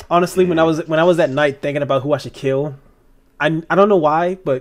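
Over a quiet background, a man talks very fast at a fairly high pitch with ordinary pitch variation. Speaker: online game player. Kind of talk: casual chat. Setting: video call. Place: home room. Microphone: video call.

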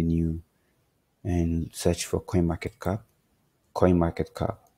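In a very clean recording with a silent background, a man with a very deep, low voice talks at a fairly slow pace. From Nigeria. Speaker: crypto trading YouTuber. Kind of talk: casual explainer video. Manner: animated; filler-heavy, hesitant.

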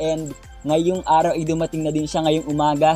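A man talks over loud background music, and the sound is dry with no echo. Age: 20s. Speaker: vlogger. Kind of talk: unboxing vlog. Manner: animated.

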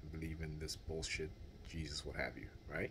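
Over light background noise, a man speaks at a moderate pace in a somewhat breathy voice. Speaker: vlogger. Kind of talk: casual vlog chat. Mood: indignant, opinionated. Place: home room. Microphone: phone near.

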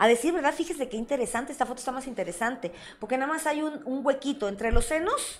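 A woman with a Mexican accent talks very fast in a high, animated voice with ordinary pitch variation over light background noise. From Mexico. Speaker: sex therapist and show host; show host. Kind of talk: live-stream talk show. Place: studio.

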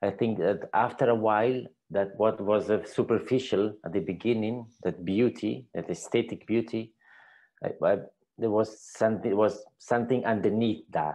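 His voice sits at a fairly low pitch, with ordinary pitch variation and a slightly mellow tone. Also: moderate pace.

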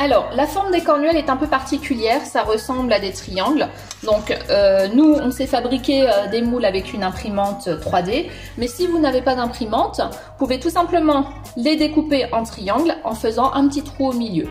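Faint music plays in the background as a woman speaks at a high pitch. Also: moderate pace. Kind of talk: tutorial. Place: kitchen.

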